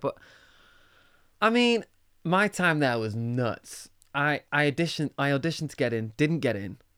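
This man has a fairly high voice and a Mancunian accent, and his pitch swings very widely. He talks at a moderate pace with long, frequent pauses. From Manchester, England. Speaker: musician. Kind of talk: casual chat. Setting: studio.

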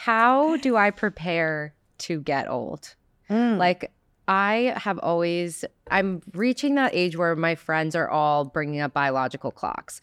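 In a New Jersey accent, the speech moves at a very slow pace with lively intonation, captured in a very clean recording with a silent background and a dry, close sound with no echo. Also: woman. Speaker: podcast host. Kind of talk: casual interview chat. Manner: drawn-out, expressive delivery.

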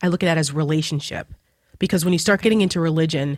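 In a New Jersey accent, a woman speaks with a very deep, low pitch and fairly even intonation on a very clean recording with a silent background. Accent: New Jersey American English. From New Jersey, US. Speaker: political commentator. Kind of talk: casual chat.

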